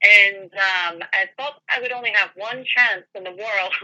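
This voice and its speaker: A woman speaks with a Scottish accent. Her pace is fairly slow. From Scotland, Edinburgh. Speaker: paranormal investigator. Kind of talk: interview.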